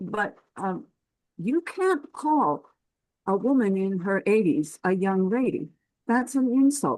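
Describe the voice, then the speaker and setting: At a very slow pace, a woman with a fairly high pitch speaks in very wide pitch swings. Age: 80s+. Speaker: focus group participant. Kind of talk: group discussion. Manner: animated.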